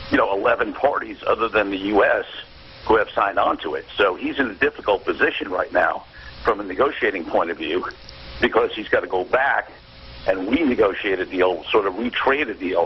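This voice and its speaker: A man talks at a fairly quick pace. Noticeable background noise is audible. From New York. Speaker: negotiation expert. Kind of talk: radio interview. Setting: phone call.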